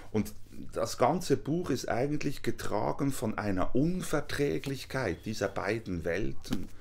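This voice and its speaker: A man with very wide pitch swings and vocal fry, at a fairly slow pace. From Switzerland. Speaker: author; guest, visiting professor. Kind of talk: interview. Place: home room.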